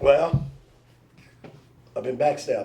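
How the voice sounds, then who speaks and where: A man speaks with a dark, mellow tone and a somewhat breathy quality, his pitch varying in an ordinary way. Audible room echo surrounds his voice. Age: 60s. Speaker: truck driver and father of the host. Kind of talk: casual chat. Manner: animated.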